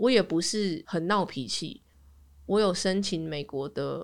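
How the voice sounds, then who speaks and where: A woman talks at a fairly slow pace with vocal fry, her medium pitch showing ordinary variation. The recording is very clean and the background silent. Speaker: podcast host. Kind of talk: casual chat.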